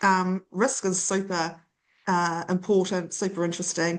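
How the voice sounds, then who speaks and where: A woman speaks at a fairly slow pace with a New Zealand accent. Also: quiet background. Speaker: data centre industry consultant. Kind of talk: interview.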